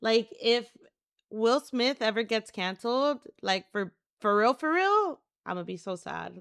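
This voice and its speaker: Recorded very clean with a silent background and a dry, close sound with no echo, a woman speaks fairly slowly in a fairly high pitch, with an animated tone and lively intonation. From California, Mexican-American. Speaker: streamer. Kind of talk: casual chat. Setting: live stream.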